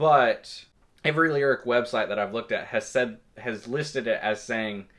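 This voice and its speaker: Against a quiet background, a man speaks in a Southern US accent. His pace is moderate and his pitch varies in an ordinary way. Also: medium pitch for a man. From Kentucky, small town. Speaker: music reviewer. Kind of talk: album review monologue. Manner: halting, many fillers.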